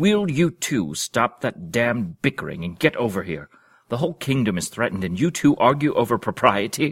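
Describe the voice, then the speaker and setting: A man does a growling, put-on character voice at a medium pitch. Raised and projected, it swings very widely in pitch at a moderate pace. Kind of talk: imperious, regal. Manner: snarled, annoyed.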